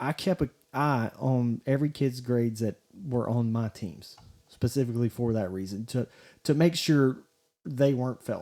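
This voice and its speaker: A man speaks at a moderate pace in a medium pitch with ordinary pitch variation and a dark, mellow tone. The sound is dry and close with no echo, on a very clean recording with a silent background. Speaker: high school sports podcaster, former coach and teacher. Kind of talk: solo podcast commentary. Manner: rambling, halting with many restarts; stuttering when frustrated.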